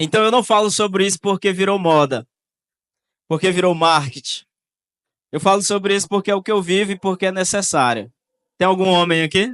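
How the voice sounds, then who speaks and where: Recorded dry and close with no echo against a quiet background, a man with a high pitch talks at a fairly quick pace, with long, frequent pauses and ordinary pitch variation. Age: 20s. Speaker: youth pastor. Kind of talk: sermon.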